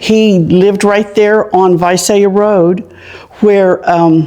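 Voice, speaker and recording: A woman with an American accent at a very slow pace, with ordinary pitch variation and noticeable background noise. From Farmersville, California (Central Valley). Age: 70s. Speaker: local elder sharing town history. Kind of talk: oral history interview.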